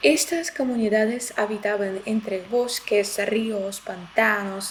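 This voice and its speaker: A fairly high-pitched woman speaking very slowly over noticeable background noise. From Belarus. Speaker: language and culture YouTuber. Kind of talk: explainer video. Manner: hesitant, many filler sounds.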